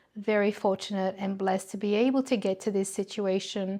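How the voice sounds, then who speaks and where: A woman at a medium pitch speaks in a monotone with flat intonation. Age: 60s. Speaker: video blogger. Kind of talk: casual vlog monologue.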